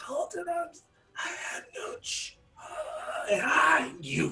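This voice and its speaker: In a put-on character voice, the speaker talks at an extremely high pitch and a very slow pace. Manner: pained, strained, gasping.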